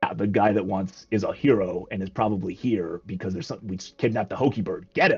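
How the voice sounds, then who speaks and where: This man uses a put-on character voice that is raspy and fairly low in pitch. He talks at a very fast pace with fairly even intonation. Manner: menacing, gruff.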